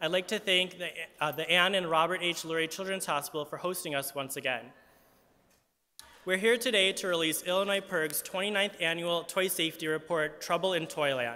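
This man speaks with a high pitch and ordinary pitch variation. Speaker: advocacy group spokesperson. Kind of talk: press conference statement. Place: hall. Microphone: podium.

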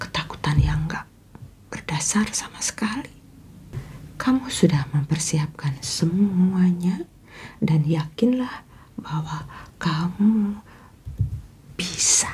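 Pausing long and often, a woman speaks very slowly at a fairly low pitch. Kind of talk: advice talk to camera. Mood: calm, caring, earnest. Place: home room.

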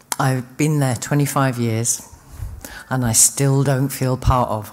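A woman speaks very slowly with a London accent. Her voice is very deep and low, with fairly even intonation. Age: 50s. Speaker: recovering addict, speaker. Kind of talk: recovery testimony. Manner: halting.

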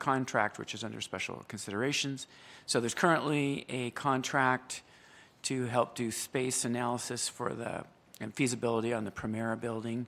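A bright, sharp tone at a moderate pace with ordinary pitch variation. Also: man. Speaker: council chair. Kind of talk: meeting procedure and explanation. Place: hall. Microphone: podium.

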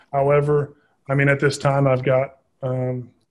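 A man with an American accent speaks against a quiet background. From Southern Indiana; Indiana. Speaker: army officer and real estate investor; podcast guest. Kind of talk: interview. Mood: earnest, grateful. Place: home room. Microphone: video call.

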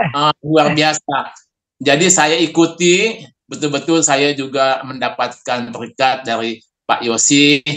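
Against a quiet background, a man with a fairly high pitch and a bright, sharp tone speaks very slowly. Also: ordinary pitch variation. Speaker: health expert; guest. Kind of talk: Q&A; personal testimony interview. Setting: video call. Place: home room. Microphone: video call.

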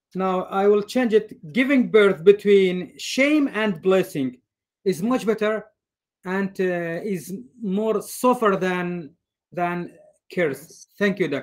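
A man speaks at a very slow pace and a high pitch. There are long, frequent pauses, and his pitch variation is ordinary. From northern Iraq. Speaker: graduate student. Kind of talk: seminar discussion. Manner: halting.

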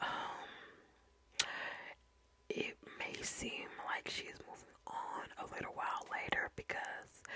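Someone whispers in an American accent. The pace is very slow. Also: woman. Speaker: ASMR creator. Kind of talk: ASMR true crime storytelling. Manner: whispered, soft, casual. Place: home room. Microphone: studio mic.

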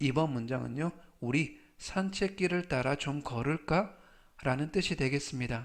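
The speaker uses lively intonation against a quiet background. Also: man. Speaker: English vocabulary teacher. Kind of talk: tutorial. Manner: slow, repeating each word three times; formal.

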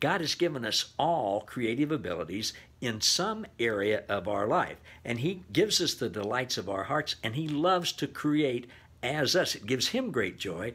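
Moving at a moderate pace, a man speaks with very wide pitch swings. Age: 70s. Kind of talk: devotional talk. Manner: casual with frequent fillers. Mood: warm, enthusiastic, encouraging. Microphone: webcam.

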